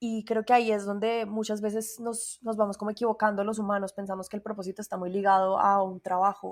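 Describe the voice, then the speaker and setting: Talking at a very fast pace with hardly any pauses, a woman with a Colombian accent keeps a monotone, flat intonation at a medium pitch. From Colombia, Bogotá. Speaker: singer and voice coach. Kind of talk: interview conversation.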